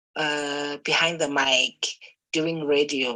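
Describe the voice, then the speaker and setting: Very slowly, a woman speaks with a very deep, low pitch and a bright, sharp tone. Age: 30s. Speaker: programme participant. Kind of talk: recorded video testimony. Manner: energetic.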